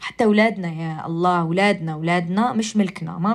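With an Algerian accent, a woman speaks at medium pitch. Her intonation stays fairly even at a moderate pace. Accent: Algerian Arabic with English code-switching. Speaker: radio and podcast host. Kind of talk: casual monologue.

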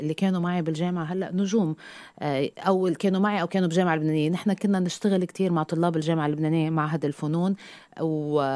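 This woman has a fairly low pitch and a dark, mellow tone. The recording is very clean, with a silent background. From Lebanon. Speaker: TV news presenter and university lecturer. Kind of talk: interview, personal story.

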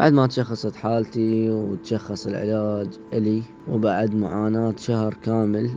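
A man talks at medium pitch and a very slow pace. His intonation is monotone and flat, with noticeable background noise behind him. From Iraq. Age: young. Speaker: cancer survivor. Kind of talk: personal testimony.

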